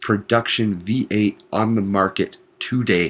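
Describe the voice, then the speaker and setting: A man speaks quietly in a strained voice. His pace is very slow. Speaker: gaming commentator. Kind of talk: gameplay commentary. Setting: at work. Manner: quiet, restrained.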